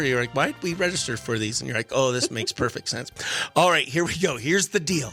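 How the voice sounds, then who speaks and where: With music playing behind him, a man's pitch swings very widely as he talks. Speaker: radio morning show host. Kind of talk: radio show segment, reading a listener letter.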